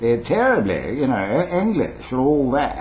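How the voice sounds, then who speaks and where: The voice moves at a fairly quick pace with very wide pitch swings. Noticeable background noise and audible room echo fill the recording. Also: man. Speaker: vlogger, former radio broadcaster. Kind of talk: casual tutorial to camera. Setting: home video recorded on a new camera. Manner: rambling, relaxed, with many fillers.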